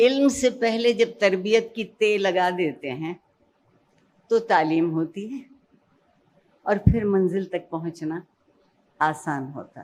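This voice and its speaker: A woman with a normal speaking voice, medium pitch, lively intonation and big swings in loudness. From Pakistan. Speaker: educationist and Urdu language expert. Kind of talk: motivational speech.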